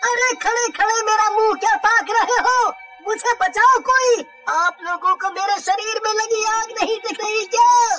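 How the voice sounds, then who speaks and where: Over music in the background, a cartoonish character voice is shouting at a moderate pace. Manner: panicked, shouting.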